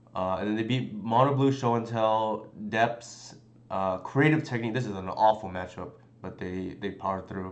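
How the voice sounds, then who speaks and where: Fairly low in pitch with ordinary variation, a man speaks at a moderate pace amid audible room echo. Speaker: game streamer. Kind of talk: live stream commentary. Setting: live stream. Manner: halting.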